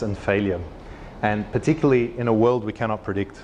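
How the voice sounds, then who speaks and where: A man's voice amid noticeable background noise. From Australia. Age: 30s. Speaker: innovation consultant and lecturer. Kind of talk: conference talk.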